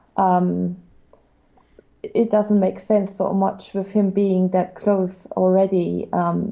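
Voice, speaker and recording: A woman talks at a very slow pace and a medium pitch in a dark, mellow tone. Her intonation is monotone and flat, with very even loudness. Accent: German. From Germany. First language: German. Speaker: guest art critic. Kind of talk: art critique on livestream. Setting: livestream. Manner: halting, many fillers.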